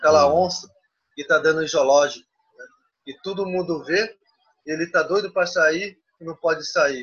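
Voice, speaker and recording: A man's fairly high, fairly even voice at a fairly quick pace, broken by long, frequent pauses. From Xingu region, Pará, Brazil. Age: 20s. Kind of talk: interview. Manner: halting.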